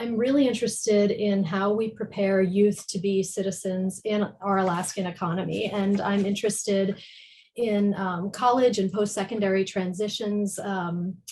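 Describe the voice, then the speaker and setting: A woman speaks with an American accent at medium pitch. Her tone is dark and mellow, and somewhat breathy. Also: moderate pace. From US East Coast. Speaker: education policy researcher. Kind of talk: panel presentation.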